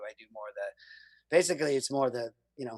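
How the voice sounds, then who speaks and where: Fairly quick speech in a dry, close sound with no echo. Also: man. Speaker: commercial voiceover artist. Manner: matter-of-fact, edgy delivery.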